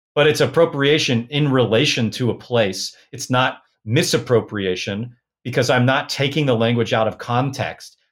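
Speaking in a plain, everyday voice with an American accent, a man keeps a moderate pace at medium pitch with ordinary pitch variation, on a very clean recording with a silent background. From US Pacific Northwest (Portland, Oregon). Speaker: folk magic practitioner. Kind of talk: interview conversation.

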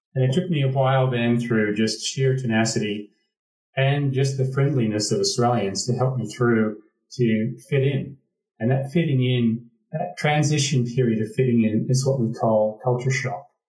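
A man's medium-pitched, somewhat breathy voice with an American accent, ordinary pitch variation and a moderate pace. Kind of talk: casual chat.

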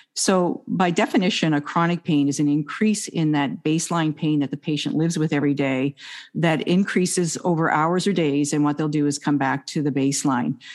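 With a slight Maritime Canadian accent, this voice moves at a fairly quick pace with hardly any pauses, very even loudness, ordinary pitch variation and a quiet background. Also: woman, very deep, low pitch for a woman. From Nova Scotia, Canada. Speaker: doctor, emergency and family practice. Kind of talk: interview conversation about chronic pain.

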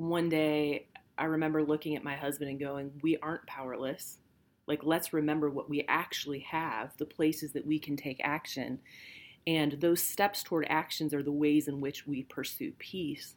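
A woman with a Midwestern accent speaks at a moderate pace in a flat monotone. Her pitch is very deep, and the recording is very clean with a silent background. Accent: General American (Midwest). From central Illinois, US. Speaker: podcast co-host, pastor. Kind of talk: casual conversation.

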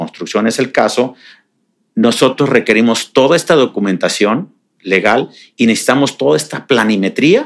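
This man talks at a moderate pace and a medium pitch, with ordinary variation in his pitch. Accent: Mexican. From Mexico, Jalisco (Tapalpa). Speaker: real estate developer. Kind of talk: interview.

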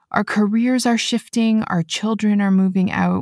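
In a very clean recording with a silent background and a dry, close sound with no echo, a somewhat breathy voice speaks at a fairly slow pace with fairly even intonation. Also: woman. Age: 40s. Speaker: podcast host. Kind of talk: solo podcast monologue.

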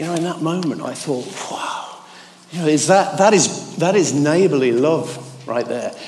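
This man talks at a moderate speed while noticeable background noise fills the recording. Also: fairly high pitch for a man, ordinary pitch variation. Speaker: church speaker. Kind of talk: devotional talk. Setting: church.

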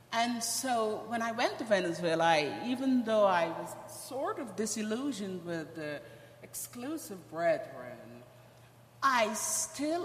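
Spoken at a very slow pace with a Guyanese accent, the voice swings very widely in pitch and heavily in loudness, over noticeable background noise and audible room echo. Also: woman. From Guyana. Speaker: church member. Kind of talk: testimony. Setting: church.

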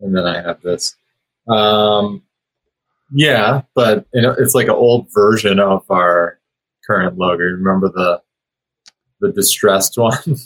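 With long, frequent pauses, a man speaks at a very slow pace and ordinary pitch variation, in a dry, close sound with no echo. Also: fairly low pitch for a man. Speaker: co-host, creative director. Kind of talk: casual chat.

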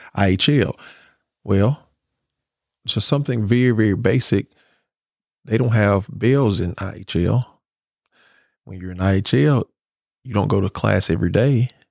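Speaking at a moderate pace with long, frequent pauses, a man with a Mississippi accent uses a fairly low pitch and ordinary pitch variation, the sound dry and close with no echo. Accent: Mississippi Southern. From US South. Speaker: school board candidate and educator. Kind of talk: interview.

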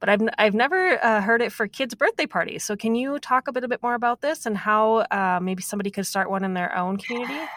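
With a Minnesotan accent, a woman talks at a very fast pace and fairly high pitch, with lively intonation and hardly any pauses, her dry, close sound lacking echo despite noticeable background noise. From US Minnesota. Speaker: podcast host. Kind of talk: interview.

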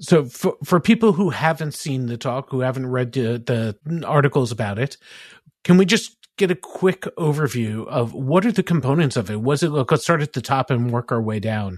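Somewhat breathy and lively in intonation, a man talks at a moderate pace against a quiet background, recorded dry and close with no echo. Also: medium pitch for a man. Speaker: podcast host. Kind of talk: podcast interview.

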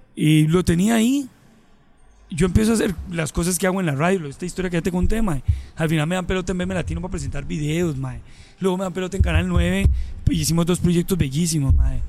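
Music plays behind a man speaking at a very fast pace. His pitch is high, with ordinary variation. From Colombia, Medellín. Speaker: comedian and radio host. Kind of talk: casual chat.

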